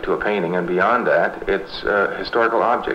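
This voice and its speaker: Male speech at a moderate speed against noticeable background noise. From London, Ontario, Canada. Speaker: collage artist. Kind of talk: documentary interview.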